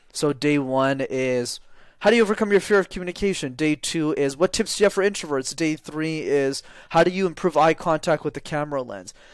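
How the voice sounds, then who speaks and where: A man talks in a plain, everyday voice with a Canadian accent, fairly high in pitch. He moves at a fairly quick pace with ordinary pitch variation. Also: very clean recording, silent background. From Canada, Montreal. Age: 20s. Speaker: public speaking coach. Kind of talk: interview.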